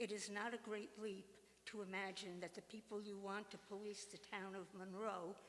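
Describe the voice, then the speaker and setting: The speaker is a woman with a medium pitch. She talks in a monotone, flat way. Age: 80s+. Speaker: public commenter at town meeting. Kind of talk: public comment speech. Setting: town board meeting. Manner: formal.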